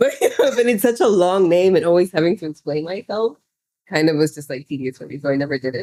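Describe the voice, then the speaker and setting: With an American accent, a woman talks at a very fast pace in a dark, mellow tone, with lively intonation and big swings in loudness. The sound is dry and close, with no echo. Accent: American twang. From Southern Africa (Angola, Namibia, South Africa). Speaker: podcast co-host. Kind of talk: casual chat.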